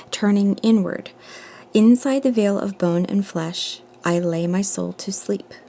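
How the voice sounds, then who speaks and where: A dark, mellow tone at a fairly slow pace with fairly even intonation. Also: woman. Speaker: tarot reader. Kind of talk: collective tarot reading. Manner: meandering, thinking aloud.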